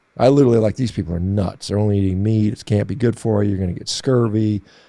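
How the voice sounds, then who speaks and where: Speaking very fast with an American accent, a man keeps a fairly low pitch with ordinary pitch variation. His tone is dark and mellow. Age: 50s. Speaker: physician and athlete. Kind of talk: interview.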